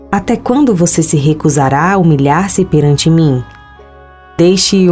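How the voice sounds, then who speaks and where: Over music in the background, a woman with a fairly low pitch talks at a fairly slow pace. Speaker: voice-over narrator. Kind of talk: Bible reading, religious narration.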